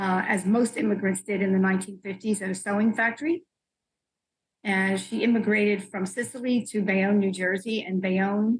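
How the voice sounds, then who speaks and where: A moderate pace carries this somewhat breathy voice. The intonation is fairly even. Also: woman. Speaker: pattern maker and fashion professor. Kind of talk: interview answer.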